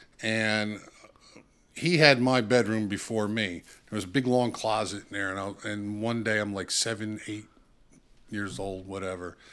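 Speaking in a New Jersey accent, a man talks at a moderate pace in a fairly low pitch with fairly even intonation and long, frequent pauses. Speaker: saxophonist. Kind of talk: casual chat.

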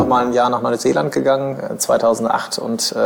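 A medium-pitched man talks at a moderate pace while noticeable background noise carries on. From Germany, Bielefeld (East Westphalia). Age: 30s. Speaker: lawyer and in-house counsel. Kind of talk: interview conversation. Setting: office of his employer. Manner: hesitant, many filler sounds.

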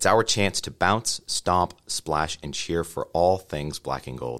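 With vocal fry and lively intonation, a man speaks in a very deep, low voice. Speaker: podcast host. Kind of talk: podcast interview.

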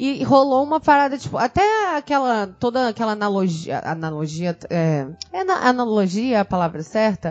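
Amid noticeable background noise, a woman at a fairly high pitch talks at a moderate pace with hardly any pauses and very wide pitch swings. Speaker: podcast co-host. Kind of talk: casual chat.

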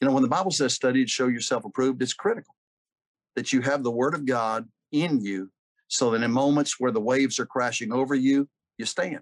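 A man with a plain, everyday voice, medium pitch, ordinary pitch variation and a fairly quick pace, in a dry, close sound with no echo. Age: 60s. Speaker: pastor and church leadership consultant. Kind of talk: interview.

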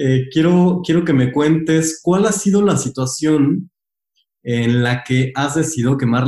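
The voice has a dark, mellow tone and ordinary pitch variation, in a Mexican accent. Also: man. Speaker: podcast host. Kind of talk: interview.

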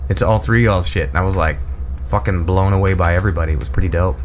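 Very wide pitch swings mark a man's very fast speech, heard over noticeable background noise. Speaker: radio host. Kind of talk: casual chat. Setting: studio.

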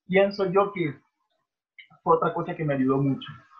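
This man talks in a high pitch. The rise and fall of his voice is ordinary. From Venezuela, Barinas. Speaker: professional volleyball player. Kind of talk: casual interview.

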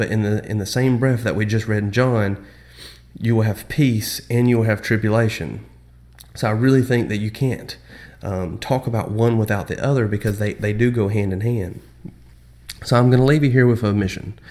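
A man of medium pitch speaks at a moderate pace with fairly even intonation. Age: 20s. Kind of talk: Bible study talk. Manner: hesitant, many fillers.

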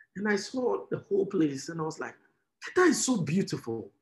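This is a man speaking. He has a Ghanaian accent. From Ghana, Tema. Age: 20s. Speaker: fintech entrepreneur. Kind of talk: interview.

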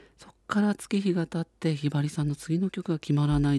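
This man speaks at a fairly quick pace in a somewhat breathy voice with a dark, mellow tone, recorded very cleanly against a silent background with a dry, close sound and no echo. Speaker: radio host. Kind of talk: radio show talk.

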